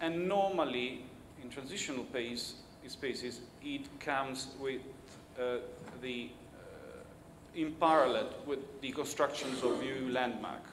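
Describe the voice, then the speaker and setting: A man at a fairly slow pace with long, frequent pauses, audible room echo and noticeable background noise. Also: medium pitch for a man, ordinary pitch variation. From Italy. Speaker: keynote speaker on cultural policy. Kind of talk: keynote speech. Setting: conference stage with audience. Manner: halting, with false starts.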